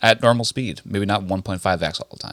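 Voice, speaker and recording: A man mumbles in a bright, sharp tone. His voice sounds dry and close, with no echo. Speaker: podcast co-host. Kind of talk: casual chat. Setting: indoors at a relative's house. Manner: mumbling.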